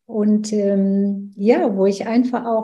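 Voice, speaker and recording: Somewhat breathy and dark, mellow in tone, a woman speaks with ordinary pitch variation in audible room echo. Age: 70s. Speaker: business coach. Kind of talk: interview.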